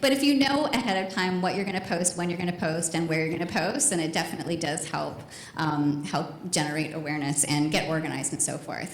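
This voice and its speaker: A woman talks at a very fast pace with hardly any pauses, her fairly low voice full of lively intonation, over noticeable background noise and audible room echo. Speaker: marketing speaker. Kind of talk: conference talk. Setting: stage with audience. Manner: animated.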